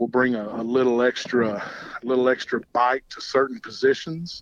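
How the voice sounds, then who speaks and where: Over noticeable background noise, a man with a Southern US accent talks at a moderate pace in a medium-pitched voice. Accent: Southern American. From Georgia, US South. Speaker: high school football coach. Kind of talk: phone interview. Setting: phone call.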